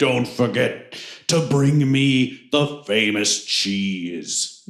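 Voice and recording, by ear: A man puts on a booming character voice at medium pitch. He speaks very slowly, with lively intonation.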